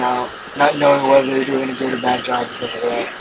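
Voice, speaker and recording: Very rapid speech with audible room echo and noticeable background noise. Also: man. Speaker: gaming YouTuber. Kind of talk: gameplay commentary. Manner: stutters a lot; halting, many fillers.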